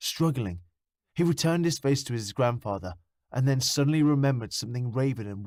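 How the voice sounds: The quiet background sits behind a natural reading voice whose intonation is lively.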